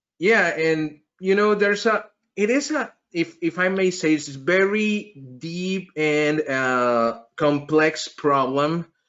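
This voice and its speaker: With a Mexican accent, a man speaks at a high pitch and a very slow pace. His intonation is lively. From Mexico. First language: Spanish. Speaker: podcast host, network engineer. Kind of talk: interview.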